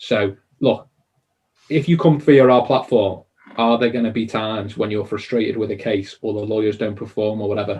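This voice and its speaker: Speaking with a Liverpool accent, a man uses a fairly low pitch and fairly even intonation at a moderate pace. His voice is somewhat breathy, and the background is quiet. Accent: Liverpool (Scouse). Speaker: conveyancing service provider. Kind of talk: interview Q&A. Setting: live online stream.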